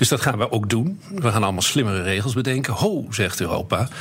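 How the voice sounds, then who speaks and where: A man talks at a very fast pace and medium pitch while noticeable background noise carries on. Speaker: chief economist. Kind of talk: casual chat.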